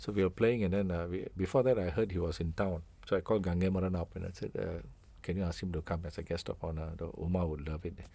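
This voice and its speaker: A man's very deep, low voice with a dark, mellow, somewhat breathy tone, fairly even intonation and a very fast pace. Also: very clean recording, silent background. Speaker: musician. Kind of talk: interview.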